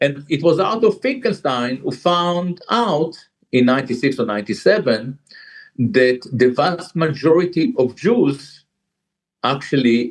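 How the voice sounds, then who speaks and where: The speech moves at a very slow pace with lively intonation. It comes in an Israeli accent. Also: man. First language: Hebrew. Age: 60s. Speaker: jazz musician and author. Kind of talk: interview. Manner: halting.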